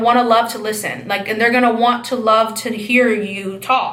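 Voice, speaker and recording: A woman's high-pitched, animated voice, with noticeable background noise and audible room echo. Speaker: astrology channel host. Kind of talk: casual astrology monologue.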